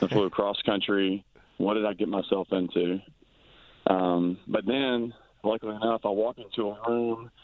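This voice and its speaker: Spoken at a moderate pace, this is a plain, everyday voice with an American accent. The intonation stays fairly even. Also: man, fairly low pitch for a man. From US South. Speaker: professional baseball player. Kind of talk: interview.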